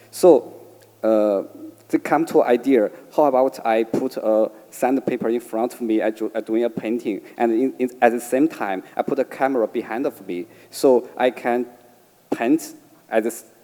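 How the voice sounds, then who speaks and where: A man speaks with a Chinese accent at a medium pitch. His tone is dark and mellow, with fairly even intonation. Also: moderate pace. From China, Beijing. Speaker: artist. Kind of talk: panel discussion. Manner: halting.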